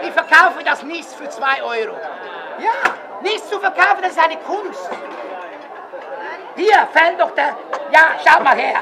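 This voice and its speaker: The speaker goes at a fairly slow pace while crowd noise fills the background. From Switzerland. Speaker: market crier. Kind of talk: market crier sales pitch. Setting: outdoors.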